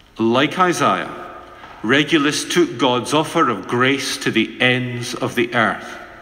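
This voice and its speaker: A man talks fairly slowly with ordinary pitch variation while noticeable background noise runs beneath him. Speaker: minister giving a radio worship address. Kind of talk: radio worship address, reflective sermon.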